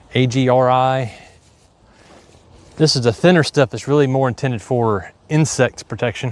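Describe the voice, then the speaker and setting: A man with an Appalachian accent speaks at a medium pitch. His pace is moderate and his intonation fairly even. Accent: hillbilly twang. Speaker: farmer. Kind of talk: livestream tutorial, casual. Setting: outdoors on farm, live stream. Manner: casual, conversational.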